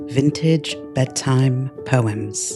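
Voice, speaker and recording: Over music in the background, a man with an English accent talks in a calm tone at a fairly high pitch. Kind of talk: bedtime poetry reading.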